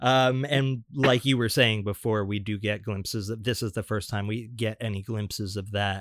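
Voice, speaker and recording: Heard in a dry, close sound with no echo, a man with an unremarkable speaking voice talks at a moderate pace, his pitch fairly low and his intonation fairly even. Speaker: podcast co-host. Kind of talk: casual chat.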